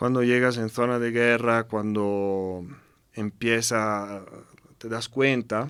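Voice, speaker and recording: Speaking with a strong Italian accent, a man at medium pitch talks very slowly in a monotone, flat intonation. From Italy. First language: Italian (speaking Spanish). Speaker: UN humanitarian representative. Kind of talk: interview conversation. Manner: halting with repetitions.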